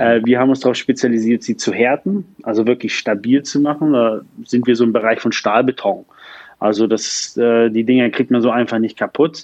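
A normal speaking voice from a man, medium in pitch, at a moderate pace with fairly even intonation and a dry, close sound without echo. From northern Germany, Lübeck. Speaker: startup founder and CEO. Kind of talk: interview.

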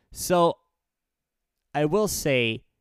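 In a very clean recording with a silent background, a man speaks with ordinary pitch variation in a dry, close sound with no echo. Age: 20s. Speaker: podcast host, blind person. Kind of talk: casual monologue. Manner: casual with many fillers.

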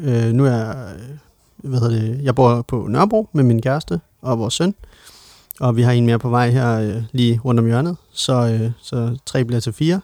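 With a dry, close sound and no echo, the voice carries a dark, mellow tone. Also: man. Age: 30s. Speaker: podcast co-host. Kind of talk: casual chat. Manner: halting, many fillers.

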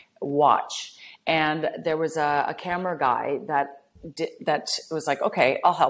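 The speaker has a Canadian prairie accent and talks at a fairly slow pace. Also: woman. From Canada, rural Saskatchewan. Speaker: reality TV personality and model. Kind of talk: casual interview chat.

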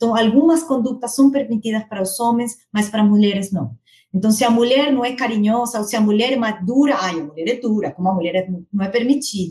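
A woman speaks at a fairly quick pace with a fairly high pitch and a Spanish accent. Her tone is dark and mellow, and somewhat breathy. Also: ordinary pitch variation. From Argentina. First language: Spanish (speaking Portuguese). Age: 40s. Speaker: corporate HR director. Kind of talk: interview.

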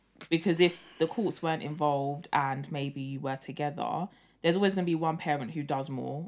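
A woman with a very deep, low pitch at a fairly quick pace. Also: ordinary pitch variation. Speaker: podcast host. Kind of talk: casual chat. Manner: animated.

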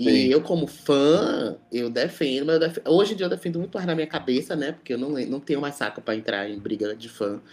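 Speaking at a moderate pace with hardly any pauses, a man uses lively intonation and a fairly high pitch in an ordinary speaking voice. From Brazil, Salvador (Bahia). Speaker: DJ. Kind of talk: casual chat.

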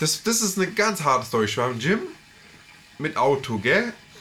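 Against noticeable background noise, a man's voice swings very widely in pitch. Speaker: podcast co-host. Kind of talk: casual chat.

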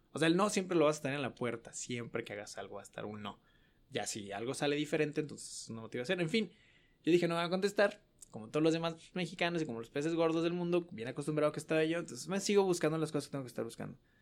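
A man at a fairly high pitch, very fast, with lively intonation and big swings in loudness. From Mexico, Guadalajara. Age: 20s. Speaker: student sharing personal story. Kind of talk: casual interview, storytelling.

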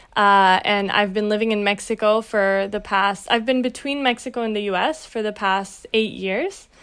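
A woman's medium-pitched voice at a moderate pace with hardly any pauses and fairly even intonation, on a very clean recording over a silent background. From Brazil, raised in Latin America and the US. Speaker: tech nonprofit executive and new mother. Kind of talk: interview. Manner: halting.

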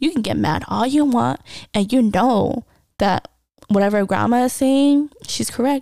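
Lively intonation marks this woman's fairly high voice as she talks at a fairly slow pace. The sound is dry and close, with no echo. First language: non-English native language. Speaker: podcast host sharing personal stories. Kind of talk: personal storytelling monologue. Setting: home recording with cats nearby. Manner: casual, conversational with fillers.

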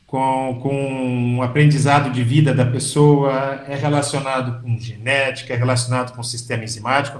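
A somewhat breathy voice at a fairly slow pace, with audible room echo. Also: man. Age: 60s. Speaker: physician. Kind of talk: interview.

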